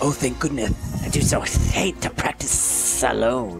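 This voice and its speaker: Clear background music under a man's put-on character voice, delivered at a fairly slow pace. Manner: hissy, theatrical.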